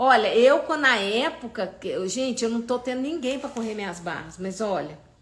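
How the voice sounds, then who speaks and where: Animated and high-pitched, a woman's voice carries audible room echo. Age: 60s. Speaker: holistic therapist. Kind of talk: live stream talk. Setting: live stream.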